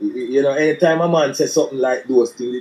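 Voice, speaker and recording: With a Jamaican accent, a man speaks with fairly even intonation. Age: 60s. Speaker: former footballer and coach. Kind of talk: interview. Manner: halting, many repetitions.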